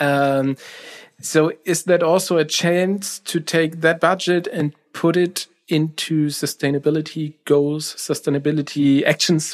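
With a German accent, a man speaks in a fairly high pitch and a monotone, flat intonation. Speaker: podcast host. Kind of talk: interview.

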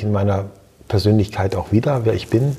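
A man talks in a dark, mellow tone. His voice is somewhat breathy. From East Frisia, northern Germany. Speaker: hotel entrepreneur. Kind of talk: interview. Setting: recorded in person at a seminar. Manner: reflective, with filler hesitations.

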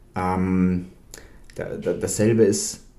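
A man's fairly low voice carries a dark, mellow tone and fairly even intonation. Room echo can be heard. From Bavaria, Germany. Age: young. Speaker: film author. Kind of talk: interview. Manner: halting, many fillers.

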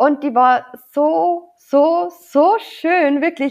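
The speaker is a woman. She talks with a Bavarian accent. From Lower Bavaria, Germany. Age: 30s. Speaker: wedding officiant. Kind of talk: casual chat.

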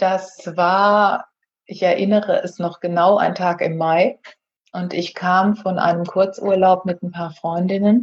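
Somewhat breathy and medium in pitch, a woman speaks at a very slow pace in a flat, monotone intonation. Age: 50s. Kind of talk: casual interview.

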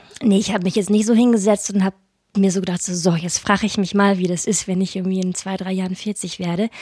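A woman speaks at a very fast pace in a dark, mellow tone, somewhat breathy, with monotone, flat intonation. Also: medium pitch for a woman. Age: 30s. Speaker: podcast host. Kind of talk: casual chat.

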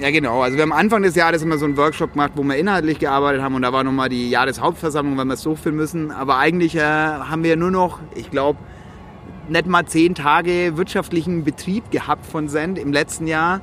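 A man with a slight Franconian accent, very fast speech, fairly even intonation and a fairly high pitch. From Franconia, Germany (village near Ansbach). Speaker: social entrepreneurship network founder. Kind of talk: casual chat. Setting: outdoors on a rooftop terrace.

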